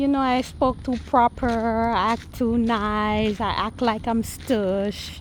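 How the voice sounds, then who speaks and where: A woman with a Jamaican accent speaks at a very slow pace. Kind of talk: casual talk to camera. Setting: outdoors.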